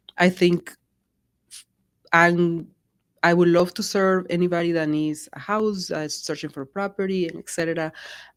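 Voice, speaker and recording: Against a very clean recording with a silent background, a woman with a Spanish accent speaks at a fairly low pitch and moderate pace, her monotone, flat intonation marked by big swings in loudness and long, frequent pauses. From Colombia. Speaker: real estate agent. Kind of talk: interview conversation.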